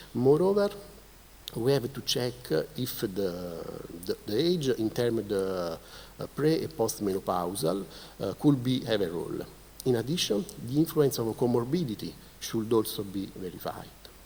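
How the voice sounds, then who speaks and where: Speaking at a moderate pace with long, frequent pauses, a man with an Italian accent uses lively intonation at a medium pitch. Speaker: keynote speaker, researcher. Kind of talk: conference presentation. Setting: conference stage with audience. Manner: halting, many fillers.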